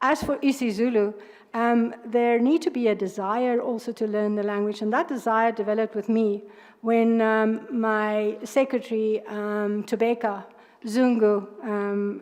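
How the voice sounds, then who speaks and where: In a South African accent, a woman speaks at a fairly high pitch and a fairly slow pace. Her intonation stays fairly even over a quiet background. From South Africa, Northern Cape. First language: Afrikaans. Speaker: judge. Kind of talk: job interview. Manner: halting, many fillers.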